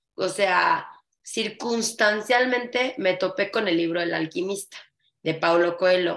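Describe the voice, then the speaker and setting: A woman speaks with lively intonation. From Mexico. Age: 30s. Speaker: flamenco dancer and dance teacher. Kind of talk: casual interview chat.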